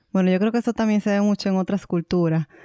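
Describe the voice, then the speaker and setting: The voice carries a dark, mellow tone and ordinary pitch variation. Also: woman, very clean recording, silent background. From Dominican Republic. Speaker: podcast co-host. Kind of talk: casual chat.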